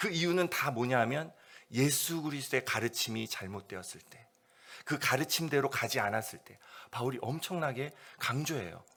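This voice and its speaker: A man with a medium pitch, a bright, sharp tone and vocal fry. His intonation is lively and his loudness swings widely. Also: moderate pace. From South Korea. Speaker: missionary. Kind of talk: sermon. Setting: church service. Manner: unscripted, conversational.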